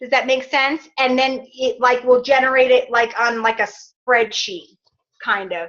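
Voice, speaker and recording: A woman's high, bright and sharp voice, raised and projected. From New York. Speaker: fitness business coach. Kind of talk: team training call.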